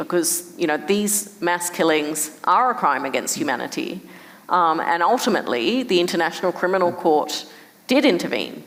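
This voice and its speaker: A woman with an Australian accent, fairly low-pitched and at a moderate pace, amid noticeable background noise. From Perth, Australia. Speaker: human rights director. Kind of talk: conversation interview answer.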